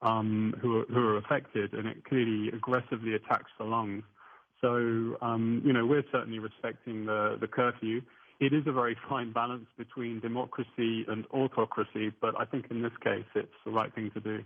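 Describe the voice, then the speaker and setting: A man with an English accent speaks at a moderate pace. His medium-pitched voice stays monotone and flat. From southern England. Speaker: attorney and UFO researcher. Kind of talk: radio interview. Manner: hesitant, many fillers.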